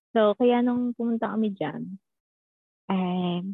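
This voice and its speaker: A woman's medium-pitched voice in a Filipino accent, with ordinary pitch variation. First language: Tagalog. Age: 20s. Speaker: bank teller and student. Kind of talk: casual interview chat.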